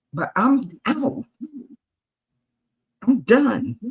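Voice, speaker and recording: With an American accent, a woman talks in an animated tone, her voice somewhat breathy. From US Northeast, Queens New York. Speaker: retired jazz and blues singer, author. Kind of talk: interview.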